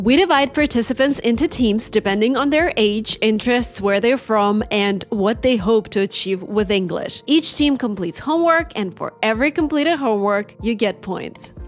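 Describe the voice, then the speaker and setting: With a Russian accent and lively intonation, the speaker goes at a moderate pace with hardly any pauses over noticeable background noise. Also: woman, fairly high pitch for a woman. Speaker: English teacher YouTuber. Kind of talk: tutorial.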